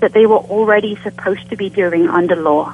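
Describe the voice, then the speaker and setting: Noticeable noise runs in the background. The speaking pace is moderate. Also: woman. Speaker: author and scholar. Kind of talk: interview answers.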